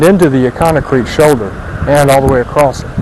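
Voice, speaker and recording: A man's voice with ordinary pitch variation, noticeable background noise and audible room echo. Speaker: pavement engineer surveying a test section. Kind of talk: field survey narration. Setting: outdoors on a highway shoulder. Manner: halting, many fillers.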